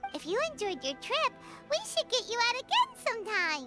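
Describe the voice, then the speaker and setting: Loud music plays behind a put-on character voice that is squeaky and extremely high in pitch. The pitch swings very widely. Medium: video game. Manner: friendly, upbeat.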